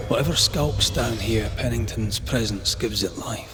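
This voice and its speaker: Against clear background noise, a man puts on a character voice and speaks at a moderate pace. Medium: machinima. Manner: blunt.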